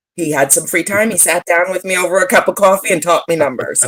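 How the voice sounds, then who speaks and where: A woman at a medium pitch and a fairly quick pace, in a normal speaking voice. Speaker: social media strategist and digital nomad. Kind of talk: podcast interview.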